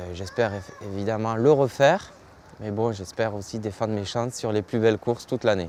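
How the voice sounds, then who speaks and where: A man talks at a fairly quick pace in a fairly low pitch. He leaves long, frequent pauses. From southwestern France, Montauban. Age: 20s. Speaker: professional cyclist. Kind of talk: interview. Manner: hesitant, many fillers.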